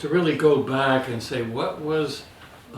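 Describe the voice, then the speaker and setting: This man speaks at a fairly slow pace with fairly even intonation. Noticeable background noise and audible room echo fill the recording. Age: 80s+. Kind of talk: casual chat.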